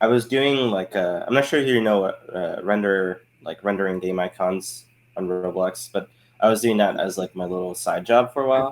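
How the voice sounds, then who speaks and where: A man with an American accent, fairly low in pitch, at a moderate pace. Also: ordinary pitch variation. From Germany, moved to the US as a child. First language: German. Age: 20s. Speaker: game studio director. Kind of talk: podcast interview. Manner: casual, with frequent fillers.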